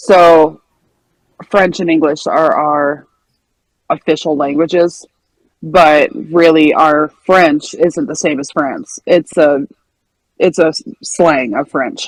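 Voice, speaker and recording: In a dry, close sound with no echo, a woman with a very deep, low pitch talks at a very slow pace, using fairly even intonation and long, frequent pauses. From Western Canada. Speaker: gaming community member. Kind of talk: casual group chat.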